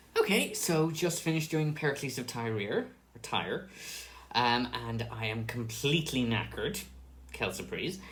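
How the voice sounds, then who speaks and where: A man talks with vocal fry amid audible room echo. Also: medium pitch for a man, lively intonation, moderate pace. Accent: Irish. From Ireland. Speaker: stage actor. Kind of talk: casual behind-the-scenes monologue. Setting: dressing room, recorded on camera.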